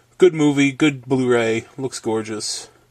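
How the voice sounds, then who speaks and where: A man at a medium pitch with ordinary pitch variation, in a very clean recording with a silent background. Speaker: video blogger / collector. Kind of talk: casual video review. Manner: hesitant fillers.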